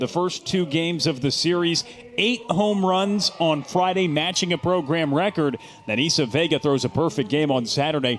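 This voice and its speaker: Noticeable background noise runs under a man speaking at a moderate pace. His pitch is high, his intonation lively and his loudness very even. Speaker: sports play-by-play broadcaster. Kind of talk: live TV sports play-by-play.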